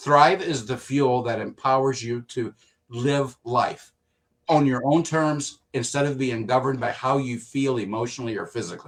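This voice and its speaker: A man talks in a normal speaking voice at medium pitch and a moderate pace. His intonation is fairly even, and the background is quiet. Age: 60s. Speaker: product user giving testimony. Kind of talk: testimony.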